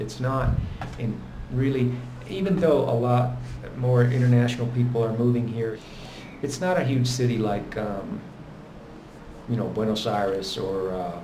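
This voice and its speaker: Long, frequent pauses break up a man's speech, with audible room echo and noticeable background noise. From Italy. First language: Italian. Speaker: expat vlogger. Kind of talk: casual chat.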